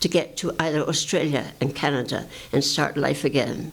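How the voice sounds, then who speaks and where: Noticeable background noise surrounds this recording. A woman speaks at a moderate pace with a very deep, low pitch. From England. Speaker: advocate for the homeless. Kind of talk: oral history talk to audience.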